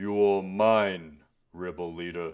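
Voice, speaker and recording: A man puts on a character voice with a very deep, low pitch. His intonation stays monotone and flat over a quiet background. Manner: stern, commanding.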